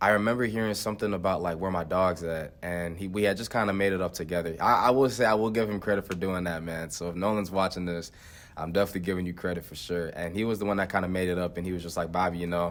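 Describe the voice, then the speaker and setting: A man with a very deep, low pitch talks at a very fast pace. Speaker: college track athlete. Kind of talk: interview. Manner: loud, energetic.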